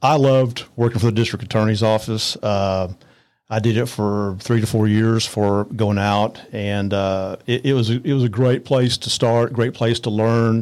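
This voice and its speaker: A man with a Texan accent talks at a moderate pace in a medium pitch, his intonation fairly even and his loudness very even, on a very clean recording with a silent background. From north Texas, Arlington area. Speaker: attorney. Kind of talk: interview.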